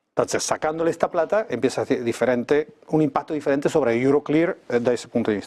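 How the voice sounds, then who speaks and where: With an Argentine accent, a man talks at a fairly quick pace in a fairly high pitch. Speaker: geopolitics expert. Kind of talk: TV interview.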